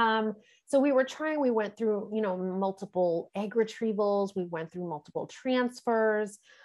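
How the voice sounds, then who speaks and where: A woman is speaking. She has a slight New York accent. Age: 40s. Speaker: intuitive coach and energy healer. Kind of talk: podcast interview. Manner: hesitant, many fillers.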